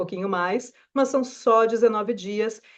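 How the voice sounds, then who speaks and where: A woman speaks with a Brazilian accent. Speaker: astrologer. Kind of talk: weekly forecast video talk. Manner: conversational.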